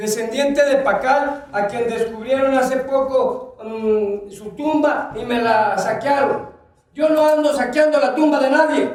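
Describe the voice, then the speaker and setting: Loud, extremely high-pitched speech from a man at a very slow pace, with ordinary pitch variation and audible room echo. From Chiapas, Mexico (Lacandon jungle). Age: 60s. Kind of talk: conference talk. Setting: auditorium with audience.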